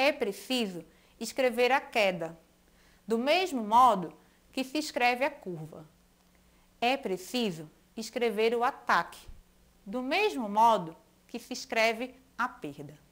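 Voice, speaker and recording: A woman speaks at a very slow pace, her pitch swinging very widely between long, frequent pauses. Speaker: school teacher. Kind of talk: educational video lesson, with a poem read aloud. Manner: clear, didactic, friendly.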